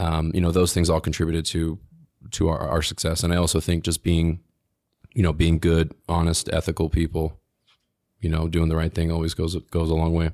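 In a very clean recording with a silent background, a man with a very deep, low pitch speaks at a moderate pace in a monotone, flat intonation, with very even loudness and long, frequent pauses. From Utah (moved from New Jersey as a small child). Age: 30s. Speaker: cannabis business owner. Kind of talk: casual chat.

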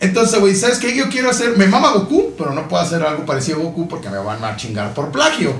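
Speaking with a Mexican accent at a very fast pace with hardly any pauses, the voice swings very widely in pitch, with audible room echo and noticeable background noise. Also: man, high pitch for a man. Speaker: podcast host. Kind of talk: casual chat. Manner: animated.

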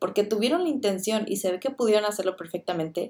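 The speech runs at a very fast pace in a dark, mellow tone. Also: woman. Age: 20s. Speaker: podcast host, student. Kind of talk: casual review monologue.

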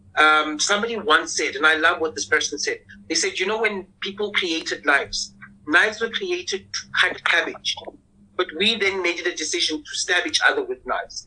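At a moderate pace, a man talks in a fairly high, squeaky voice with a bright, sharp tone, a slightly husky edge and ordinary pitch variation.

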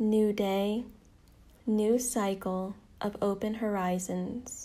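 A woman's dark, mellow voice, calm and soothing, with flat, monotone intonation. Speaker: meditation guide. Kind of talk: guided meditation. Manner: slow, calm, soothing; reverent, ceremonial.

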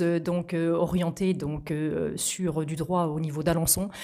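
At a very slow pace, a woman speaks in a fairly low voice with a dark, mellow tone. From Normandy, Calvados (Vire area). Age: 40s. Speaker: regional politician and mayor. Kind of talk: interview. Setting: in person at the guest's town. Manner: formal.

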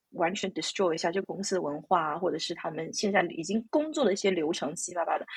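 Over noticeable background noise, a woman talks at a very fast pace with hardly any pauses, her fairly low pitch showing ordinary variation. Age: 30s. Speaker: IT professional and mother. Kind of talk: interview. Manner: halting.

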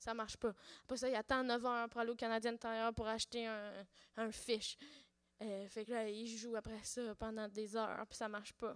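An ordinary speaking voice from a woman, fairly high in pitch, at a fairly quick pace, with a dry, close sound and no echo. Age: 30s. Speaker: podcaster. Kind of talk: casual chat. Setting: stage with audience.

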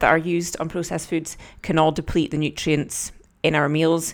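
A woman with a fairly low pitch speaks in a Scottish accent on a very clean recording with a silent background. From Scotland. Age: 30s. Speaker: podcast host and fitness coach. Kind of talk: solo podcast talk.

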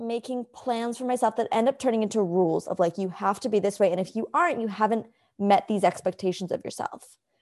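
In a normal speaking voice, a woman talks at a fairly quick pace with hardly any pauses. Her pitch sits fairly high, and her intonation is lively. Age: 20s. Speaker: podcast co-host. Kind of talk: casual chat.

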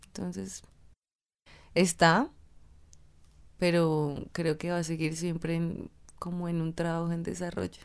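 A woman's fairly low voice at a fairly slow pace, with fairly even intonation and long, frequent pauses. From Colombia, Tunja (Boyacá). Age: 20s. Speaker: dance student. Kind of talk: interview.

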